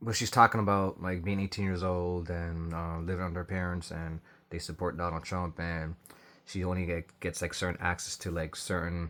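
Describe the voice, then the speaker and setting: A man mumbles in a very deep, low pitch. His intonation is monotone and flat, at a moderate pace. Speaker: commentary vlogger. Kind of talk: casual reaction commentary. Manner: hesitant, many fillers; tends to mumble and speak low.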